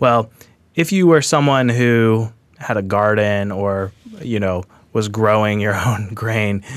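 A man with a fairly low pitch and ordinary pitch variation talks in an ordinary speaking voice. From Washington State, US Pacific Northwest. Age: 30s. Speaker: podcast host. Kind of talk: casual book discussion.

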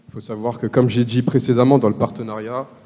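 Dark and mellow in tone, a man talks at a fairly quick pace with fairly even intonation. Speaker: law student, association vice-president. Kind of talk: panel discussion.

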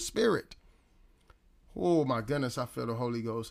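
In a raised, projected voice, a man speaks with an animated, bright and sharp tone. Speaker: preacher. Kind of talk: live-streamed sermon, preaching and Bible teaching to viewers. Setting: online live stream. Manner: conversational, direct address to viewers.

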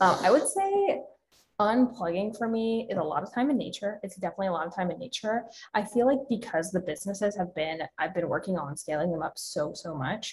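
A woman of medium pitch has an unremarkable speaking voice and lively intonation. She talks at a fairly quick pace. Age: 20s. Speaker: fitness coach and social media creator. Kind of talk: casual interview.

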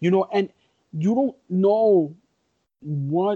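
A man with a dark, mellow tone and a high pitch speaks at a very slow pace. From Puerto Rican heritage. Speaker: wrestling podcast co-host. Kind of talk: casual chat. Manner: halting.

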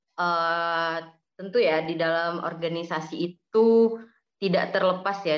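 Fairly even intonation at a fairly slow pace. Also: woman. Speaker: student secretary. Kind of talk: casual interview. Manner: hesitant, filler words.

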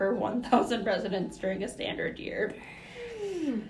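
There is noticeable background noise. Over it, a woman speaks in a playful tone. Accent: Minnesotan. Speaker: podcast co-host. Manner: laughs often, playful.

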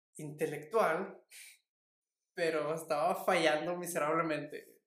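A man with a high voice speaks very slowly. The room echo is audible. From Mexico. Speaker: podcast co-host. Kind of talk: casual chat.

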